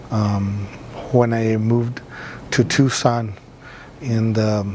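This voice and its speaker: A man with an American accent speaks at a medium pitch, with noticeable background noise. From Los Angeles, US. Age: 30s. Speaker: community artist. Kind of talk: interview testimony. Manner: halting, many fillers.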